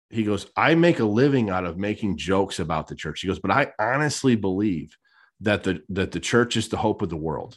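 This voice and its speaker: A man with a normal speaking voice and a fairly low pitch talks at a fairly quick pace in a very clean recording with a silent background. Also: lively intonation. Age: 30s. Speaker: podcast co-host. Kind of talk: casual chat.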